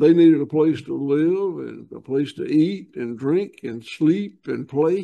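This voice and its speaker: With a Southern US accent, a man speaks at a fairly high pitch in a dark, mellow tone, his pitch varying in an ordinary way while his loudness swings widely. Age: 70s. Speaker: farmer. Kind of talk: interview. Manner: halting.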